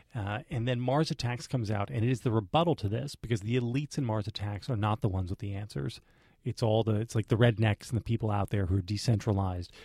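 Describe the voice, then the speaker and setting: At a very fast pace, a man speaks at a fairly low pitch in a somewhat breathy voice with a dark, mellow tone and ordinary pitch variation, on a very clean recording with a silent background. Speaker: podcast co-host and film commentator. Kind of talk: casual chat. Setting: studio.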